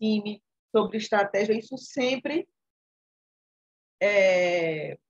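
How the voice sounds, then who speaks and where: At a very slow pace and a medium pitch, a woman speaks in a dry, close recording with no echo. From Alagoas, Brazil. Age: 40s. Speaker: entrepreneur. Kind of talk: online class talk.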